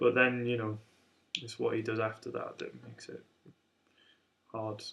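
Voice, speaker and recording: A man mumbles at a moderate pace, his loudness swinging widely. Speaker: amateur jazz guitarist. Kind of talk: casual talk to camera. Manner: mumbling, hesitant.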